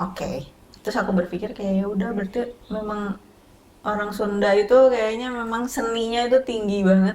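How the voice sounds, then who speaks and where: Fairly even in its intonation, the delivery runs at a fairly quick pace. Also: woman, fairly high pitch for a woman. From West Java, Sundanese. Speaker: makeup artist. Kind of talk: casual interview chat.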